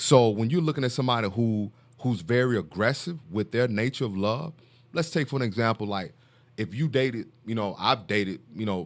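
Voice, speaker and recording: Speaking at a fairly quick pace, a man uses an American accent. His pitch is medium, with ordinary pitch variation. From US South, Mississippi. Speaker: author, speaker and mentor, former pro football player. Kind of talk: casual podcast interview.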